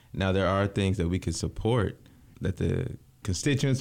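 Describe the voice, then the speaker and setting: In a very clean recording with a silent background, a man speaks fairly quickly in a plain, everyday voice. His pitch is fairly low, and he has an American accent. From Lansing, Michigan. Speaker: county commissioner. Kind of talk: casual interview. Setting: studio.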